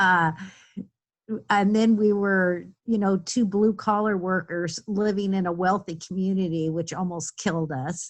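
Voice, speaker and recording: A woman speaks at a fairly slow pace with a medium pitch. Her intonation stays fairly even. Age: 60s. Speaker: webinar participant. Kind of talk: group sharing in online workshop. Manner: halting, many fillers.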